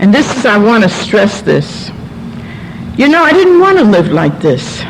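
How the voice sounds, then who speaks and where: Woman with an American accent at a fairly slow pace, with audible room echo and noticeable background noise. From New York City. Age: 70s. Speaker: recovering alcoholic speaker. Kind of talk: testimony. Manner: animated.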